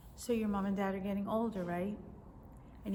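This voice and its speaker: Through noticeable background noise and audible room echo, a woman speaks at medium pitch with monotone, flat intonation. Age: 60s. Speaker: teacher and video blogger. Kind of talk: casual devotional talk to camera. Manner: conversational.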